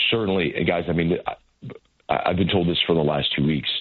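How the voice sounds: A man speaks with a low pitch. His voice has a slightly husky edge.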